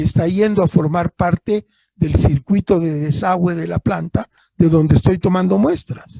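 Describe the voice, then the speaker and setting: A man speaks with a high pitch and a dark, mellow tone. His pitch varies in an ordinary way, and the sound is dry and close with no echo. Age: 70s. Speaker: engineer, laboratory manager giving a conference talk. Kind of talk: lecture Q&A. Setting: online conference, streamed to Facebook.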